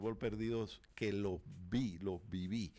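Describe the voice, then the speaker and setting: A very clean recording with a silent background. On it, a man does the talking. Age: 50s. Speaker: sports radio co-host. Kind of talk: sports radio talk show. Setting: radio studio. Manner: halting, with many repeated words.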